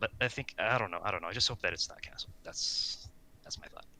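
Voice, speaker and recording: The speaker is a man. He talks with a non-native accent. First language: not English. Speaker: hockey podcast co-host. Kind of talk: casual chat. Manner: halting.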